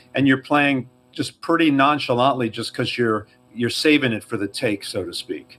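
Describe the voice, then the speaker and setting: With a slight New York accent, a man talks at a fairly quick pace in a bright, sharp tone with ordinary pitch variation, in a very clean recording with a silent background. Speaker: drummer, podcast co-host. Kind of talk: casual chat.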